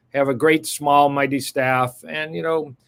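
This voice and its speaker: A man with a plain, everyday voice and a fairly high pitch talks at a fairly quick pace with ordinary pitch variation, the sound dry and close with no echo. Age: 60s. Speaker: cardiologist. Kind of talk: interview.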